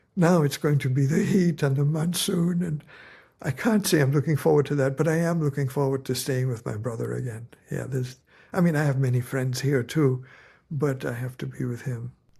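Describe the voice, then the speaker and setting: A fairly quick, somewhat breathy man's voice, fairly high in pitch with a dark, mellow tone and ordinary pitch variation, on a very clean recording with a silent background. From India. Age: 70s. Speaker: novelist. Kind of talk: interview.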